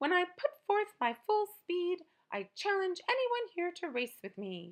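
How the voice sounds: A woman's put-on character voice at an extremely high pitch, with big pitch swings and a fairly slow pace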